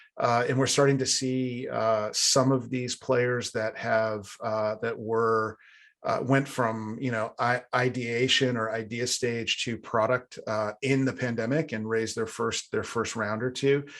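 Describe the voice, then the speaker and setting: At a fairly slow pace and with hardly any pauses, a man talks in a medium-pitched voice with monotone, flat intonation. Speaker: tech industry analyst presenting funding trends. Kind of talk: live webinar presentation. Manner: hesitant, many fillers.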